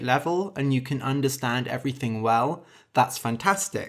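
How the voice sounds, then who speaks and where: The recording is very clean, with a silent background. A man with a plain, everyday voice speaks at a fairly high pitch, with ordinary pitch variation. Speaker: English teacher and storyteller. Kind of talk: tutorial; reading aloud. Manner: clear, deliberate.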